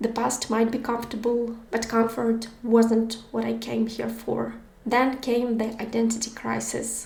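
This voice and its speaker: A woman's fairly high, flat monotone at a fairly slow pace, amid noticeable background noise and audible room echo. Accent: Ukrainian. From Ukraine. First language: Ukrainian. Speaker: podcast host. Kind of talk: personal narration.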